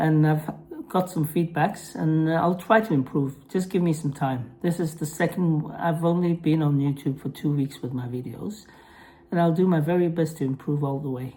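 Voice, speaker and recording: Speaking at a moderate pace with a non-native accent, a woman has a very deep, low pitch, a dark, mellow tone, a somewhat breathy quality and ordinary pitch variation. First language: Norwegian. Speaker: mental health vlogger. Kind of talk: vlog monologue; reading aloud. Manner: halting, with pauses; apologetic.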